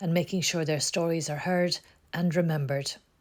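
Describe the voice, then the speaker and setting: A woman with a plain, everyday voice, fairly low in pitch, at a fairly quick pace. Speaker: oral history interviewer. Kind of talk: project introduction.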